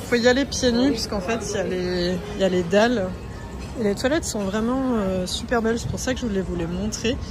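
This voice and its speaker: A voice with ordinary pitch variation carries audible room echo, with music playing in the background. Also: woman. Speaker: travel vlogger. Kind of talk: casual vlog walkthrough. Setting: outdoors on a beach.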